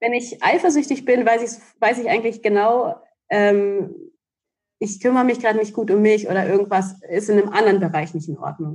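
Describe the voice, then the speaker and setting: Her pitch fairly high, a woman speaks in a plain, everyday voice with lively intonation and big swings in loudness. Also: fairly quick pace. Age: 30s. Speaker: relationship coach. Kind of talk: casual chat.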